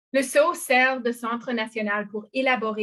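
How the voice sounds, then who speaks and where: The speaker is a woman with a non-native accent. She talks at a moderate pace with fairly even intonation. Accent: non-native French accent, anglophone. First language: English (speaking French). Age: 40s. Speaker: arts organization co-founder. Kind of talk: presentation in online public meeting. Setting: video call from bedroom. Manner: halting, many hesitations.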